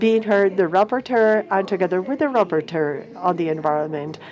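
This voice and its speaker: A woman's lively, fairly quick speech over noticeable background noise. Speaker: conference panelist on corporate accountability. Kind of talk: conference presentation.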